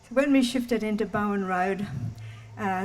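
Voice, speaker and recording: In an Australian accent, a woman speaks with lively intonation at a fairly slow pace. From Australia, Townsville, Queensland. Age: 80s+. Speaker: local storyteller. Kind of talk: personal storytelling talk. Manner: halting.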